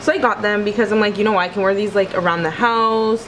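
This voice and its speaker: Light background noise behind a woman's voice. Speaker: vlogger. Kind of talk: casual vlog chat. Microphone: phone near.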